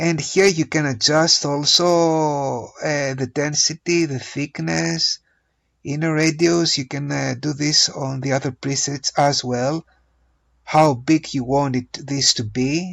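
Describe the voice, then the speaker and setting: A man with a non-native accent and a fairly high pitch, fairly even intonation, a very slow pace and a quiet background. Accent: non-native English pronunciation. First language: not English. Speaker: hobby photographer and digital artist; presenter. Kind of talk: tutorial. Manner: hesitant, many filler uhs.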